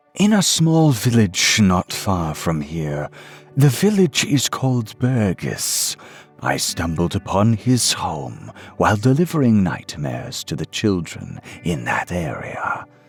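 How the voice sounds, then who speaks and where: With music in the background, a man puts on a character voice, fairly low in pitch, with very wide pitch swings, at a fairly slow pace. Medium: read story. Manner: respectful, deferential.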